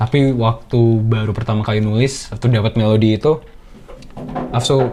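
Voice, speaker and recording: Over noticeable background noise, a man talks fairly quickly at a very even loudness, his intonation fairly even. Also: medium pitch for a man. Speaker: singer and rapper explaining song production. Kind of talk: behind-the-scenes commentary. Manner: casual, slangy, with hesitations.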